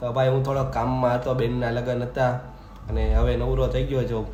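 With audible room echo, a man's voice comes through at a medium pitch. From Gujarat, India (Saurashtra). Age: young. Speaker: vlogger, pigeon keeper. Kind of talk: casual Q&A vlog.

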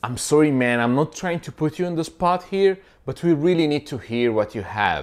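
A man at a very fast pace, lively intonation, over a quiet background. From Egypt. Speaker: vlogger teaching English phrases. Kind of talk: tutorial. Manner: casual, animated. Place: home room. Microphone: lapel.

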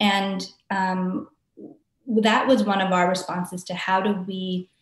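The woman's voice is somewhat breathy, with fairly even intonation. Audible room echo surrounds it. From Hawaii (Maui); Hawaii. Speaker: arts organization director. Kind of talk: interview. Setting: video call. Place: home room. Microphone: webcam.

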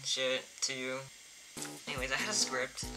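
Music plays behind the voice. The pace of speech is moderate. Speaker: artist and merch vendor. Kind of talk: casual talk to camera. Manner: hesitant, many fillers.

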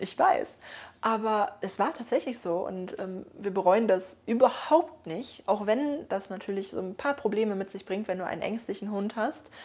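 A woman talks at a moderate pace and a medium pitch, her pitch varying in an ordinary way. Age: 20s. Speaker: dog owner and YouTuber; YouTuber. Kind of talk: casual vlog monologue; casual vlog chat. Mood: calm, warm storytelling. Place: home room.

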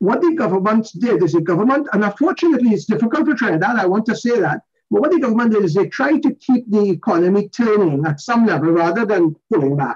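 Against a quiet background, a man with a high pitch talks at a very fast pace with hardly any pauses, very wide pitch swings and very even loudness. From Port of Spain, Trinidad; Trinidad. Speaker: business chamber CEO; panelist. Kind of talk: panel discussion. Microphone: webcam.

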